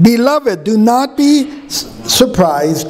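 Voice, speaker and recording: A man with an American accent speaks with very wide pitch swings. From US Southwest (Arizona). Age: 60s. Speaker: pastor. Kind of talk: sermon. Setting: church. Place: church. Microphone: podium.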